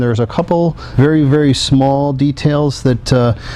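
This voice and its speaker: The speaker keeps a moderate pace with fairly even intonation. Noticeable background noise runs underneath. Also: man. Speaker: president of a diecast model company, auction previewer. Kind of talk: auction preview presentation of collectible models.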